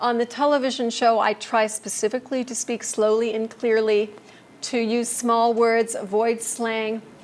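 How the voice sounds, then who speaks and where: A woman with an American accent speaks in a fairly high, monotone voice with flat intonation at a moderate pace. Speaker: ministry trainer. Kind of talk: lecture.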